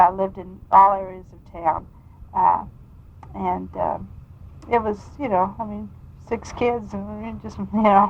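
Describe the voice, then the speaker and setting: A woman with a Midwestern US accent speaks with big swings in loudness and long, frequent pauses. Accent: US Midwest. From Kansas, Wichita. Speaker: state legislator. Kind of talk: oral history interview. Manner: halting.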